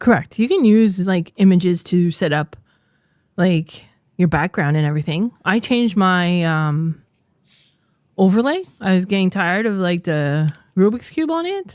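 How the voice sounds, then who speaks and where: Recorded very cleanly against a silent background, the speaker talks with a French Canadian accent at a moderate pace, with ordinary pitch variation and long, frequent pauses. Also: woman, medium pitch for a woman. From French Canada. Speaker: streamer and podcast co-host. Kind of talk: casual podcast chat.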